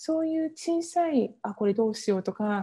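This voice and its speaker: A woman's voice has a dark, mellow tone and sounds somewhat breathy. Her intonation is lively. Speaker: Ayurveda coach and entrepreneur. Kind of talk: interview.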